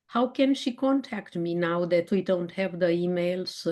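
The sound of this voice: A woman with a Romanian accent speaks at a fairly slow pace, her medium-pitched voice carrying lively intonation.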